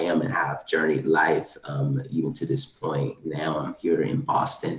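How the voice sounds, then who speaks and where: Noticeable background noise behind a man's moderate-paced speech in an American accent. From US South (east Texas, Louisiana). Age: 30s. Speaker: lawyer and leadership nonprofit co-founder, webinar panelist. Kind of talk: panel discussion. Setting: video call webinar. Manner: many filler words (um).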